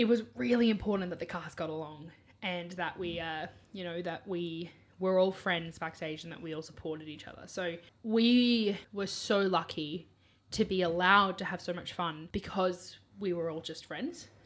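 A woman with an Australian accent and a fairly low pitch talks with big swings in loudness. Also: ordinary pitch variation, moderate pace. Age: 20s. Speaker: musical theatre performer and student. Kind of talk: casual chat.

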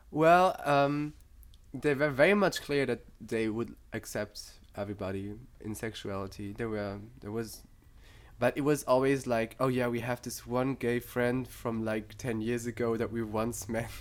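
In a German accent, a man speaks at a fairly slow pace and a medium pitch. His pitch variation is ordinary. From Germany. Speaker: psychology student. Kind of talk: casual chat.

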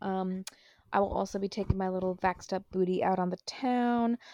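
A woman with an unremarkable speaking voice, medium pitch and fairly even intonation, in a dry, close sound with no echo. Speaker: podcast host. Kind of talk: casual chat. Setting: home recording, remote.

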